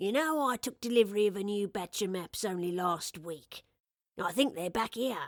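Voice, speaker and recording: A woman uses a put-on character voice at medium pitch. She speaks at a moderate pace with lively intonation. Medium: read story. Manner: warm, kindly.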